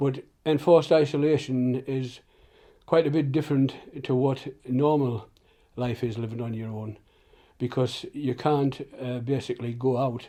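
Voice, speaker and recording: The delivery moves at a moderate pace with fairly even intonation, a dark, mellow tone, and long, frequent pauses. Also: man, medium pitch for a man. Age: 70s. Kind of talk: interview answer. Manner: hesitant.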